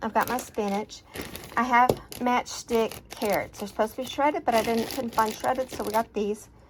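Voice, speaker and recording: Over noticeable background noise, a woman with an American accent talks fairly quickly in a fairly high voice with fairly even intonation. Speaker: cooking vlogger. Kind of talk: casual cooking video. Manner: casual, meandering.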